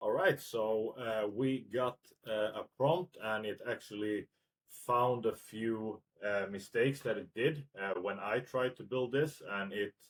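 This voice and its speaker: This man speaks at a fairly slow pace in a Swedish accent, with medium pitch and ordinary pitch variation. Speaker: tech tutorial youtuber. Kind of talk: screen-recorded tutorial. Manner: frequent filler hesitations (uh); casual.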